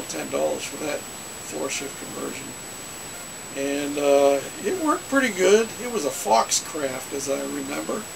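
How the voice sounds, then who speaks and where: Noticeable background noise sits under a man who speaks at a moderate pace. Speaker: hobbyist storyteller. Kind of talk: casual vlog chat. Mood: relaxed, nostalgic. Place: home room. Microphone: webcam.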